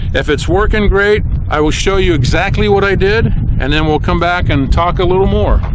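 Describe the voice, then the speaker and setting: The voice holds a very even loudness, with audible room echo and noticeable background noise. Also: man. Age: 60s. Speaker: gun hobbyist youtuber. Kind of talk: casual tutorial. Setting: outdoors.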